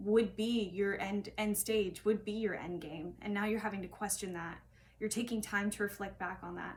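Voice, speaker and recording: The woman's voice is somewhat breathy, delivered in a monotone, flat intonation. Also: medium pitch for a woman, moderate pace. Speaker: tarot reader. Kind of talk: tarot reading monologue. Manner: halting.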